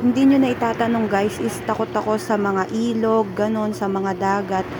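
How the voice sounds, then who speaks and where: A woman with a fairly high pitch speaks at a moderate speed, her pitch varying in an ordinary way, as noticeable background noise carries on behind her. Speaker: family vlogger. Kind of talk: vlog voiceover narration. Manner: casual, chatty.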